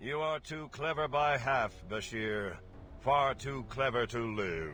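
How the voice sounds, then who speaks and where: Over clear background noise, a man puts on a character voice at a medium pitch and a fairly slow pace. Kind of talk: archaic, theatrical. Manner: menacing, creepy.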